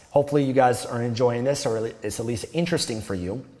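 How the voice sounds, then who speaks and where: Music plays in the background as a man speaks with a Canadian accent. His pace is fairly quick. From Canada. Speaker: self-improvement youtuber. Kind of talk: casual monologue to camera. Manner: modulated, wide vocal range.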